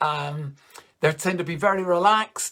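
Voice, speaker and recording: The speaker has a Northern Irish accent and ordinary pitch variation. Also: man. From Northern Ireland, Coleraine. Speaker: comedian. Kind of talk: stand-up. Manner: casual, conversational.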